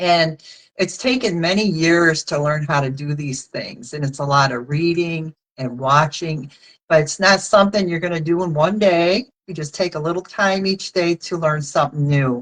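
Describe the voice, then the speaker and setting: A woman's fairly low pitch with ordinary pitch variation at a moderate pace, an ordinary speaking voice. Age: 60s. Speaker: direct sales consultant. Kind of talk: casual chat.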